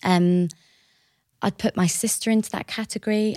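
A woman with a southern English accent, dry and close with no echo. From southern England, Hertfordshire/Essex border. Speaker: events director. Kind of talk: interview.

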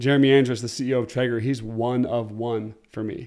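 Here is a man with an American accent at a medium pitch. His tone is dark and mellow. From Oregon, US. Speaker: former pro football player turned entrepreneur. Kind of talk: casual interview chat. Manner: animated.

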